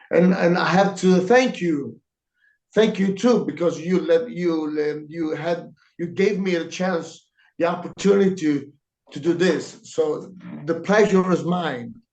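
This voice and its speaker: A man speaks in a high voice with an Italian accent. His pace is fairly slow, and his pitch varies in an ordinary way. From Italy, Lanciano. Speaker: comic book artist. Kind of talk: interview answers. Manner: halting. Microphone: too quiet.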